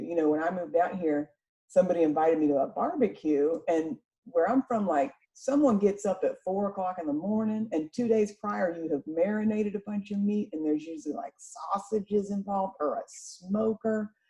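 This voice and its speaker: A woman speaks at a fairly quick pace with a slight Southern accent. Her voice is somewhat breathy, with a dark, mellow tone and lively intonation. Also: medium pitch for a woman. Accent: slight southern twang. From North Florida (Jacksonville). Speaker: podcast host, massage therapist. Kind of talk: casual chat.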